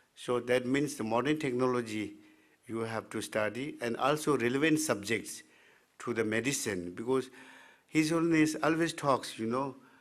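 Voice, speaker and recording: The speaker talks at a moderate pace in a Tibetan accent. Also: man, medium pitch for a man, ordinary pitch variation. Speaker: Tibetan medicine physician and teacher. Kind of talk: presentation. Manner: halting, many fillers.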